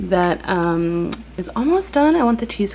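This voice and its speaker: A quiet woman speaks at a moderate pace in a fairly low pitch over noticeable background noise. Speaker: lifestyle vlogger. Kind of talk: casual vlog talk to camera. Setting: home kitchen. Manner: quiet, hushed.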